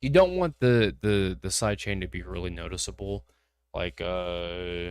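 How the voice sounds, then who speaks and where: In an American accent, a man with a very deep, low pitch speaks at a fairly slow pace with lively intonation, on a very clean recording with a silent background. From US Midwest. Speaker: music producer. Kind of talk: livestream tutorial; casual chat. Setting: live stream. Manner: halting, repeats words.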